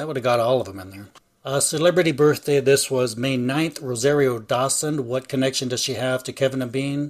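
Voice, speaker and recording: In a normal speaking voice, a man talks at a fairly quick pace with a medium pitch and ordinary pitch variation. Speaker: podcast co-host.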